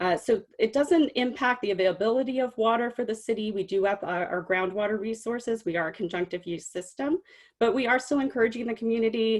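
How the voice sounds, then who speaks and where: A woman talks at a very fast pace. The background is quiet. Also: fairly high pitch for a woman, ordinary pitch variation, hardly any pauses. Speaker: city water conservation staff. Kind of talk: webinar presentation.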